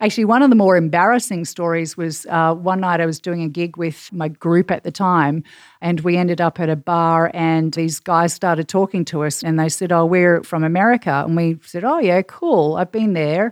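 At a moderate pace and with hardly any pauses, a woman speaks with a fairly low pitch and ordinary pitch variation in a dry, close sound with no echo and a quiet background. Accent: Australian. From Perth, Western Australia. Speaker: marketing executive and podcast producer. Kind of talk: casual chat.

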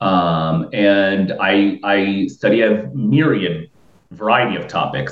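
A man with an American accent speaks in an ordinary speaking voice, his fairly low pitch rising and falling with ordinary variation. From Florida, Tampa Bay area. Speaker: researcher. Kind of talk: casual chat.

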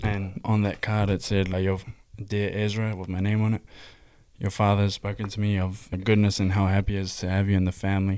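Talking very fast in a flat monotone, a man with a New Zealand accent has a fairly low pitch, captured on a very clean recording with a silent background. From New Zealand, Hamilton. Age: 20s. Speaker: church youth podcaster, filmmaker. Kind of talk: casual faith discussion.

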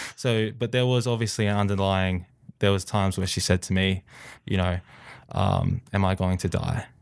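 With an Australian accent, a man speaks at a moderate pace in a fairly low pitch, with fairly even intonation and very even loudness, on a very clean recording with a silent background. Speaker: athlete. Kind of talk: interview.

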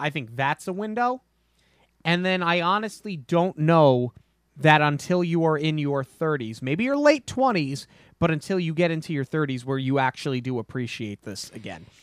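A man uses a normal speaking voice at a fairly high pitch and a moderate pace, with lively intonation. The sound is dry and close, with no echo. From US Northeast. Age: 30s. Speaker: podcast host. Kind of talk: casual chat.

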